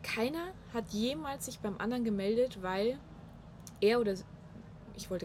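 A woman speaks at a medium pitch and a moderate pace, with lively intonation and long, frequent pauses. Noticeable background noise runs beneath her voice. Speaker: podcast guest. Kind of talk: casual chat. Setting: on a balcony in Munich.

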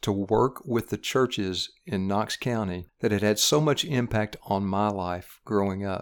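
In a Tennessee accent, a man talks at a fairly slow pace with a fairly low pitch and ordinary pitch variation, on a very clean recording with a silent background. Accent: Southern US (Tennessee). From East Tennessee, US South. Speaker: regional Baptist missions director. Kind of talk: interview on church ministry.

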